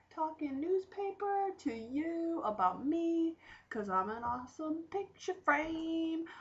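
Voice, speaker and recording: A woman in an American accent, extremely high in pitch, with lively intonation at a very slow pace. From Western New York. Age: 20s. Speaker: recent graduate, youth worker. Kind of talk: casual video self-introduction. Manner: casual, joking.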